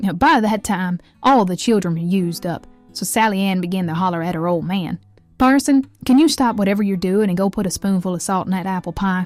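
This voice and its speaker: A woman talks at a fairly quick pace over music in the background. Her pitch sits in the middle of her range and varies in an ordinary way. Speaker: storyteller. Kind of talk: folk story narration.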